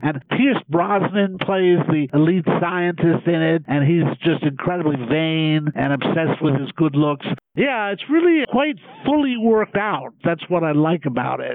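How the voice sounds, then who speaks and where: A fairly slow pace with lively intonation. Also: man, high pitch for a man. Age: 70s. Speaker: professor and pop culture critic. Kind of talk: casual chat.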